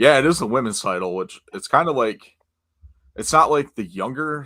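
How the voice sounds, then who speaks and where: A man talks at a moderate pace and a medium pitch. His tone is bright and sharp, with vocal fry. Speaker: wrestling podcast host. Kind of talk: casual chat. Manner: slurring.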